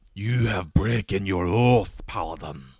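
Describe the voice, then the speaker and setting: A man puts on a raspy character voice in a Scottish accent, pitched fairly low. He delivers it at a fairly slow pace. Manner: stern, emphatic.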